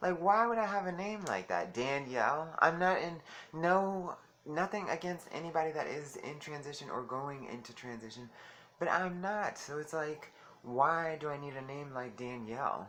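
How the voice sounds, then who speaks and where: Lively intonation and big swings in loudness come through at a moderate pace, with audible room echo. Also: man, fairly high pitch for a man. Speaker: YouTuber sharing prison experiences. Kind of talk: casual monologue vlog. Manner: conversational, with hesitations.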